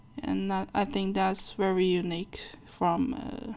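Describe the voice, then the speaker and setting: The voice carries a dark, mellow tone with a Chinese accent. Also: woman. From China. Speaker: plushie and doll maker. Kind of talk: interview.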